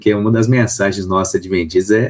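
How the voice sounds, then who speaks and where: Speaking at a fairly quick pace with a São Paulo accent, a man uses a fairly low pitch and fairly even intonation over noticeable background noise. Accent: São Paulo (paulista). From Brazil, São Paulo. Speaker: pastor. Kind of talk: radio interview.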